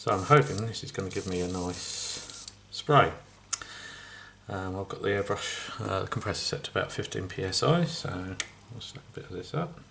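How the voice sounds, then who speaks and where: Over noticeable background noise, a man mumbles at a moderate pace in a fairly low pitch, with lively intonation and big swings in loudness. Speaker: scale model builder. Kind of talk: tutorial. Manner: mumbling.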